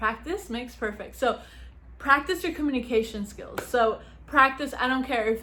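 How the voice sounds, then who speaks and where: A loud woman's voice, high-pitched, with lively intonation. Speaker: YouTuber giving advice. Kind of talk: casual vlog talk.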